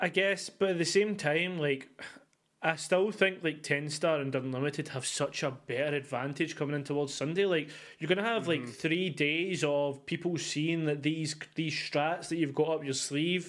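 A man with a Scottish accent speaks at a moderate pace in a fairly high voice with fairly even intonation. The recording is very clean, with a silent background. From Scotland. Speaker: esports podcast host. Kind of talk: casual chat.

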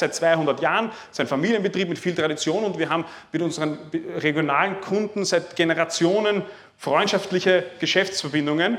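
A man with a high pitch speaks at a fairly quick pace with fairly even intonation. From Lower Austria, near Vienna. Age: 30s. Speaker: farmer and agricultural trader. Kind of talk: talk to a live audience. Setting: room with seated audience, microphone. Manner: halting, many repeated words and fillers.

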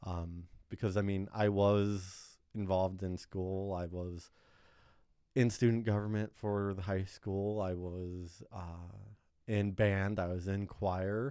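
Very slowly, a man with an American accent talks in a fairly low pitch and a dark, mellow tone, his intonation monotone and flat. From US Midwest, northwest Ohio. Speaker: data analyst. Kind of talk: casual chat.

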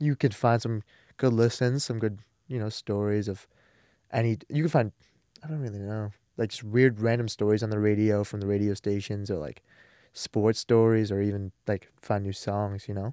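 A man with an American accent, a fairly low pitch, a dark, mellow tone and fairly even intonation at a fairly quick pace, long and frequent pauses, a dry, close sound with no echo, and a very clean recording with a silent background. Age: young. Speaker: student podcast co-host. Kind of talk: casual chat. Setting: studio.

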